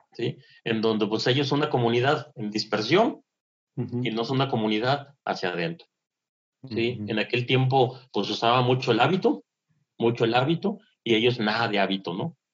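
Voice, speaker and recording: This man speaks at a moderate pace. His pitch is medium, with ordinary variation. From northern Mexico, Monterrey, Nuevo León. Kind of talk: casual interview. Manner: halting, with many repetitions and fillers.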